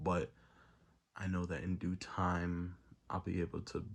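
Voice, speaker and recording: On a very clean recording with a silent background, a man with an American accent talks at a fairly slow pace in a very deep, low pitch, with vocal fry and ordinary pitch variation. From New York, the Bronx. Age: 20s. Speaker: rapper. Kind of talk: unscripted personal monologue. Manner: casual, hesitant.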